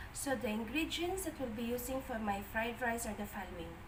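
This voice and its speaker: Audible room echo and noticeable background noise surround a woman's high-pitched voice with ordinary pitch variation. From Philippines. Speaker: cooking vlogger. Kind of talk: cooking tutorial. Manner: soft-spoken.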